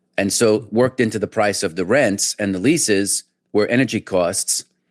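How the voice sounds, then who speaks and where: A man with a New York accent, fairly low in pitch with ordinary pitch variation, in a dry, close sound with no echo and a quiet background. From New York, about an hour north of Manhattan. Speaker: trader. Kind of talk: interview conversation.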